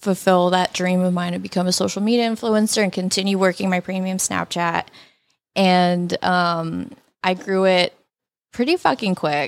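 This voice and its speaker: A woman with an ordinary speaking voice talks at medium pitch and a moderate pace. Her intonation is fairly even, and the recording is very clean with a silent background. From Canada, Toronto. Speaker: social media model and former college golfer. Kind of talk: casual chat.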